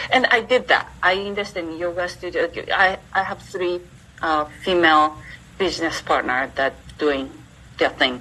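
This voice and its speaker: A woman with a fairly low pitch speaks at a moderate pace with lively intonation and long, frequent pauses. Noticeable background noise is present. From Japan. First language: Japanese. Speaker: entrepreneur and university teacher. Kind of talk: interview.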